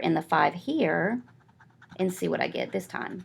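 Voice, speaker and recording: Speaking with vocal fry, a woman has a fairly low pitch. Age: 40s. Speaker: math teacher. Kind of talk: tutorial. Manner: casual, with fillers.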